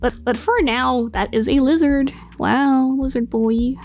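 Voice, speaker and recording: Noticeable noise fills the background. Over it, this woman's voice is fairly high. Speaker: graphic designer. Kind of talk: casual tutorial commentary.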